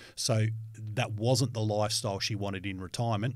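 With an Australian accent, a man speaks at a fairly quick pace in a fairly low, somewhat breathy voice with fairly even intonation. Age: 40s. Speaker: financial educator. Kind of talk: educational podcast chat.

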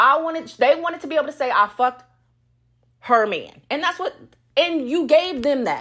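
With lively intonation and a fairly quick pace, a woman is captured on a very clean recording with a silent background. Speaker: podcast host. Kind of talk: story time rant about an ex-husband's infidelity; profane angry rant, venting about mistresses. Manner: heated and profanity-laced, repeating words for emphasis; casual, chatty, laughs often.

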